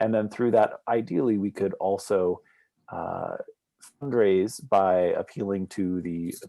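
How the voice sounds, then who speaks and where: In an unremarkable speaking voice, a man talks fairly slowly at a fairly low pitch with ordinary pitch variation. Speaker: neighborhood association member. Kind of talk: community meeting presentation.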